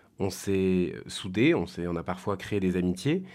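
A man speaks fairly slowly in a very clean recording where the background is silent. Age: 30s. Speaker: volunteer community project organiser. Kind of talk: testimony. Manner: halting, with repeated words and hesitations.

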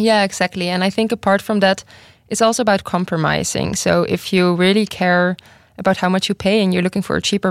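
A woman talks at a fairly quick pace with a Dutch accent. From Netherlands. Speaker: university student. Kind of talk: panel discussion. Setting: studio.

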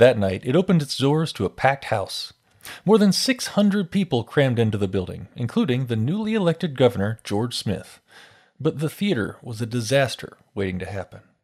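A man's somewhat breathy, solemn voice at a medium pitch, fairly quick in pace, with very wide pitch swings. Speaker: radio host. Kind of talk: scripted history narration, grave true-crime style retelling of a theatre fire. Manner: measured, solemn, steady pace building tension; clear, formal, broadcast-style delivery.

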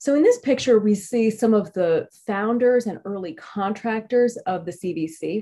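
With hardly any pauses, a woman talks fairly slowly at a fairly high pitch, with ordinary pitch variation and an unremarkable speaking voice. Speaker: history professor. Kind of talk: lecture. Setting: video call.

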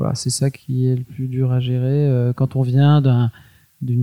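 Dry and close with no echo, this voice has a dark, mellow tone. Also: man. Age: 40s. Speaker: entrepreneur. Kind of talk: interview. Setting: at the guest's home. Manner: halting.

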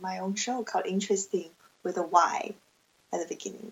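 In a Chinese accent, a woman speaks at a fairly high pitch with fairly even intonation. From China. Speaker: aspiring podcaster. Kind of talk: interview.

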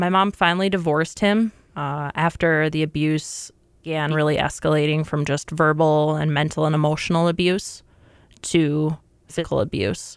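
With an American accent, a woman talks at a moderate pace in a very deep, low voice. Her pitch varies in an ordinary way on a very clean recording with a silent background. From Minnesota, US Midwest. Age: 20s. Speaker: corrections officer. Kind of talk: interview testimony.

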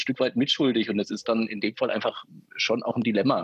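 A man talks at a very fast pace. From former East Germany. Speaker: podcast co-host. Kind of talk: casual chat. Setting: video call.

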